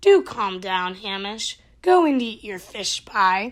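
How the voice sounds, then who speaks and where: A woman puts on a character voice at a medium pitch, moving at a fairly slow pace. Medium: read story.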